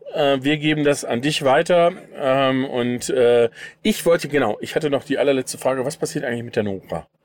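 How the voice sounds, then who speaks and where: In a plain, everyday voice, a man talks at a fairly quick pace with a fairly high pitch and ordinary pitch variation. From Sauerland, but moved around a lot. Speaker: podcast host. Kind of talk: casual chat. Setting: inside a camper van.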